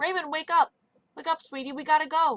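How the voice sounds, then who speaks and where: Using a squeaky, put-on character voice, a woman talks at a high pitch and a fairly quick pace in a dry, close sound with no echo. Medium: read story. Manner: warm terms of endearment.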